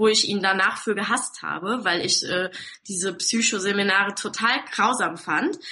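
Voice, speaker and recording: This woman's moderate pace comes through over noticeable background noise. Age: 20s. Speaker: online marketing entrepreneur. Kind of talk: interview.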